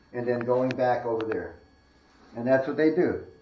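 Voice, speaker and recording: A man's voice, moving at a moderate pace, carries audible room echo. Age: 60s. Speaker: spiritualist paranormal investigator. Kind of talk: casual walkthrough commentary. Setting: indoors in a house, on camera. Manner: animated.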